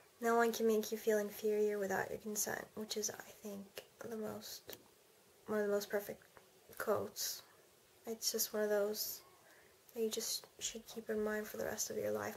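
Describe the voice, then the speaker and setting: A woman talks at a moderate pace, with light background noise behind her. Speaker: vlogger. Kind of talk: casual vlog chat. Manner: sleepy, slow, halting speech. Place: home room. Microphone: webcam.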